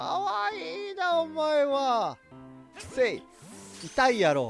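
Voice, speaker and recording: A man talks in a Kansai accent. Music plays in the background. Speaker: voice actor. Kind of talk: game commentary. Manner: high-energy, animated.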